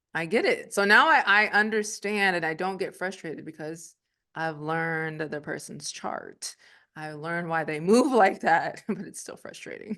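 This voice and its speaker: Against a quiet background, a woman speaks with a bright, sharp tone. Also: medium pitch for a woman, ordinary pitch variation, big swings in loudness. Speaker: astrologer. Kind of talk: casual chat. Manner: fast.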